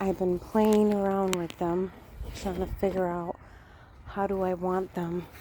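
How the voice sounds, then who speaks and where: A woman's flat, monotone voice at a fairly slow pace, with noticeable background noise. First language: Spanish. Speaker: vlogger. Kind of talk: casual vlog. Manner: hesitant, many fillers.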